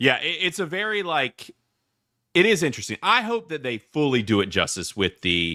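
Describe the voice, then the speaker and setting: A man with a Southern US accent speaks at a moderate pace in a fairly high pitch, his bright, sharp tone edged with vocal fry and marked by very wide pitch swings, in a dry, close recording with no echo, very clean and set against a silent background. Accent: Southern twang. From US South. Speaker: podcast host, movie reviewer. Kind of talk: casual chat. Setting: live podcast. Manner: halting.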